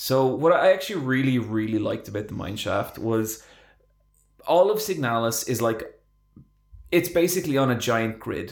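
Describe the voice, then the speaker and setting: A man with an Irish accent speaks at a moderate pace, his pitch swinging very widely, with long, frequent pauses. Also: medium pitch for a man. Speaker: podcast co-host. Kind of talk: casual chat.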